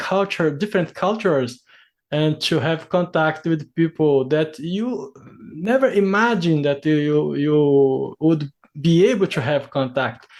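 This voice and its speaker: A man with a Brazilian accent, lively intonation and a fairly slow pace over a quiet background. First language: Portuguese. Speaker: interviewer, English learner. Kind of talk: casual interview. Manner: halting.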